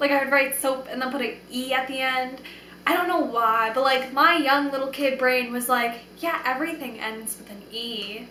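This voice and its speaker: A raised, projected voice with an American accent, animated in tone, at a moderate pace with big swings in loudness, plus audible room echo and noticeable background noise. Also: woman, high pitch for a woman. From New York. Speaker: vlogger. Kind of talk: casual vlog monologue.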